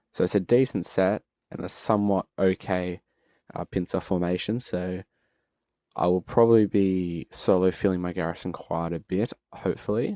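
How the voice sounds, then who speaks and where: In a very clean recording with a silent background, a man with an Australian accent speaks in a relaxed tone and a very deep, low voice, at a moderate pace with fairly even intonation and a dry, close sound with no echo. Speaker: gaming streamer. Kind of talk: live gameplay commentary. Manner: casual, relaxed.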